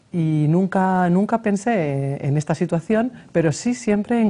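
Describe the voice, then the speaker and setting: A woman's dark, mellow tone with a Madrid accent. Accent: Madrid Spanish, kept. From Spain. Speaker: mayor, lawyer. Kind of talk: TV interview. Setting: TV studio. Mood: warm, smiling. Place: studio. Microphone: lapel.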